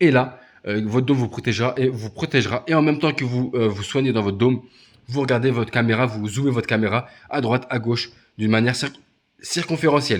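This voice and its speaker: At a very fast pace, a man with medium pitch and fairly even intonation speaks on a very clean recording with a silent background. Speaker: gaming youtuber. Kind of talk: gameplay tutorial. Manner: halting, many hesitations.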